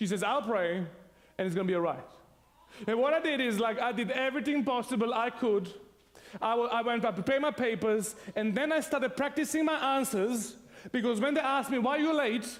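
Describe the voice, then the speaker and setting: A man with a Serbian accent speaks at a fairly quick pace in an animated tone, his pitch extremely high with ordinary variation. His loudness stays very even, and there is audible room echo. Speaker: pastor. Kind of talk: sermon.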